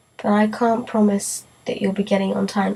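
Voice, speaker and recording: This woman's voice sits fairly high in pitch, with noticeable background noise behind it. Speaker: vlogger. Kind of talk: casual vlog talk to camera.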